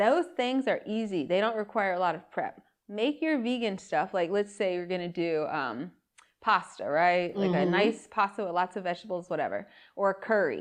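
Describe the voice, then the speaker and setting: A woman uses a plain, everyday voice at medium pitch. Her pace is moderate and her intonation lively. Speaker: podcast host. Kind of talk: podcast interview, casual conversation.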